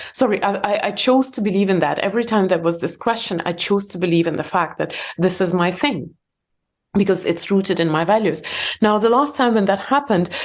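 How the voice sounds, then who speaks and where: A woman with a non-native accent speaks at a fairly quick pace and medium pitch, with ordinary pitch variation over a quiet background. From Soviet Union. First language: not English, English is third language. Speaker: entrepreneur and meditation teacher. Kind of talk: podcast interview. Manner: halting.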